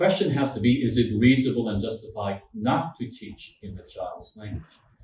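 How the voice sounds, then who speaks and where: A man's medium-pitched voice at a fairly quick pace, with big swings in loudness and noticeable background noise. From French Canada. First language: French. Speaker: law professor and human rights trainer. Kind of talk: lecture.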